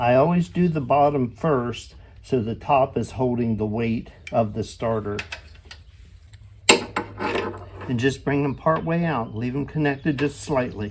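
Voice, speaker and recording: Over noticeable background noise, a man of medium pitch speaks at a fairly slow pace. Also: ordinary pitch variation. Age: 70s. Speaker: DIY repair video maker. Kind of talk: tutorial. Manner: casual, hesitant with fillers.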